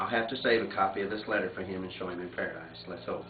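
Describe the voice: A low-pitched man speaks at a very fast pace with ordinary pitch variation. Room echo is audible.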